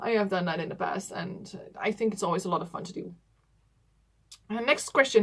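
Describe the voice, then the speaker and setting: A woman with a bright, sharp tone and a Dutch accent. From Netherlands. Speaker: doll collector YouTuber. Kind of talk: casual vlog talk to camera. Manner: hesitant, many fillers.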